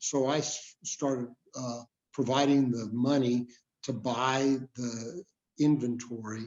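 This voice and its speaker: A man of medium pitch with an American accent, very slow in pace and monotone, flat in intonation. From El Paso, Texas. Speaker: trial lawyer. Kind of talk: interview answer.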